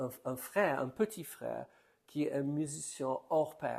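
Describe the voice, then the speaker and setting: A man with an English accent, fairly high in pitch, at a fairly slow pace, on a very clean recording with a silent background. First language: English (speaking French). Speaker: preacher. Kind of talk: sermon. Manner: halting, repeats words.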